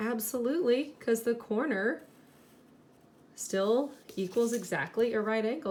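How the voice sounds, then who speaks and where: Here a woman speaks in an animated tone with a fairly high pitch. Her pitch variation is ordinary. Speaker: elementary school teacher. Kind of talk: tutorial.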